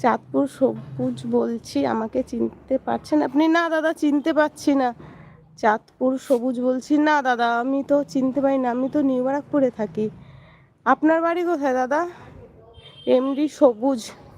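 A woman talks at a high pitch with ordinary pitch variation. The sound is dry and close, with no echo. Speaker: vlogger. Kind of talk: casual live stream chat. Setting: rooftop, outdoors.

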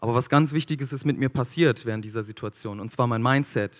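Against a quiet background, a man with medium pitch talks at a moderate pace with ordinary pitch variation. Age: 30s. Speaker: food company founder and speaker; speaker. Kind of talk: motivational talk. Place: stage. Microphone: handheld.

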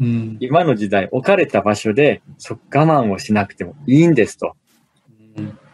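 A man at a moderate pace, with very wide pitch swings, in a dry, close sound with no echo. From Osaka, Japan. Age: 40s. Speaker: business author and corporate manager. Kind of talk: casual interview.

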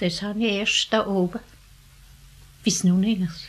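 A woman's medium-pitched voice in a strong Alemannic accent, fairly slow and with monotone, flat intonation. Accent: strong Alemannic dialect colouring. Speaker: elderly villager recounting her life. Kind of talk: oral history interview.

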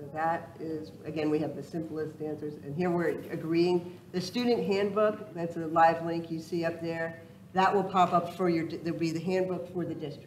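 Amid noticeable background noise and audible room echo, a woman with a fairly low pitch talks at a moderate pace with fairly even intonation. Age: 60s. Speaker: state first lady demonstrating an online system. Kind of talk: live software demonstration at a public event. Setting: public library event with audience.

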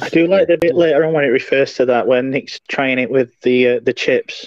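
Against a quiet background, a man with a fairly high pitch uses an ordinary speaking voice at a moderate pace, in a dry sound with no echo. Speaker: podcast co-host. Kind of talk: casual chat. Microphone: video call.

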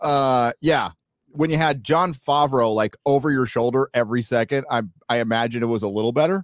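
A man at medium pitch and a fairly quick pace, with ordinary pitch variation and very even loudness, dry with no echo over a quiet background. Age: 50s. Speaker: podcast co-host. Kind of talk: casual chat. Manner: animated. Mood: critical, opinionated. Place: home room. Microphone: video call.

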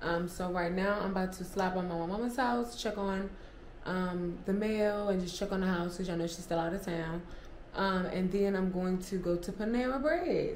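With audible room echo and light background noise, a woman talks at a fairly quick pace with ordinary pitch variation. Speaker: vlogger. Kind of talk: casual vlog chat. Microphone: camera far.

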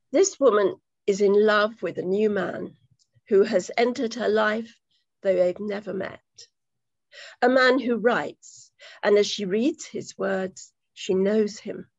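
Over a quiet background, a woman speaks at a fairly slow pace with ordinary pitch variation. The sound is dry with no echo, and long pauses come often. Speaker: poetry event host. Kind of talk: hosting an online poetry reading. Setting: video call. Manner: warm, chatty. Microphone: video call.

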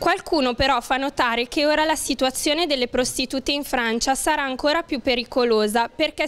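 The tone is fairly bright, with a moderate pace and fairly even intonation. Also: woman.

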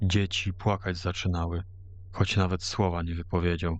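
A man with a very deep, low pitch and monotone, flat intonation. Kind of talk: ghost story narration. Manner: slow, hushed, ominous storytelling; archaic folk-tale diction with dramatic pauses.

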